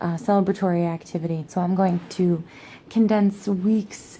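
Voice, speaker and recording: A quiet, somewhat breathy woman's voice, dark and mellow in tone, fairly low in pitch, with monotone, flat intonation at a fairly slow pace. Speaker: pagan vlogger. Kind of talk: casual vlog monologue. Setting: at home, sitting on the floor. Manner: quiet, low voice; hesitant, many fillers.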